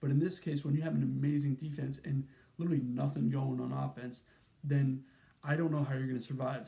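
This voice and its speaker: Fairly high in pitch, a man speaks at a very fast pace with fairly even intonation. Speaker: college football YouTuber. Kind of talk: sports analysis monologue. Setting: at his mom's home. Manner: casual, filler-heavy.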